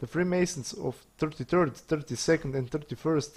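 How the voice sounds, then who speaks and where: Speaking at a moderate pace with a non-native accent, a man uses a dark, mellow, somewhat breathy tone and fairly even intonation. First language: not English. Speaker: conspiracy video maker. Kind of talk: monologue to camera.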